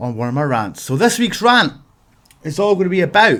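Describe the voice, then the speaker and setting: Animated in tone, a man with a Scottish accent uses very wide pitch swings in a very clean recording with a silent background. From Scotland. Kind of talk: comedic rant to camera. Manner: exaggerated, animated.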